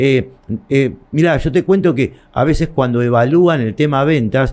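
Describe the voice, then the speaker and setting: This man's fairly high voice keeps a moderate pace and shows ordinary pitch variation. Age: 60s. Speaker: shopkeeper and trade association leader. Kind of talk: interview. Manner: halting.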